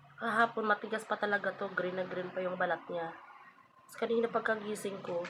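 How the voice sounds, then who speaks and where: Noticeable background noise sits behind a woman with a medium pitch. She talks at a fairly quick pace with fairly even intonation. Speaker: vlogger. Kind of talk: casual vlog talk. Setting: at home, just woke up.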